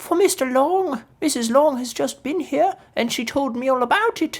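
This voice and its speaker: A put-on character voice is used here, high in pitch. The pace is moderate. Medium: read story. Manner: excitable, impatient.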